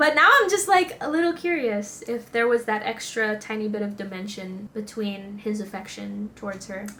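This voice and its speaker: Over noticeable background noise, a woman with a fairly high pitch talks at a moderate pace with lively intonation, big swings in loudness and hardly any pauses. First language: not English. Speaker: anime reaction youtuber. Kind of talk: casual chat. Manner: animated.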